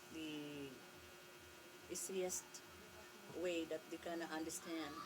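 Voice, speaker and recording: Speaking at a very slow pace with a Filipino accent, a woman with fairly low pitch is heard over noticeable background noise. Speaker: vlogger. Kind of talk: casual vlog talk to camera. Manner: halting.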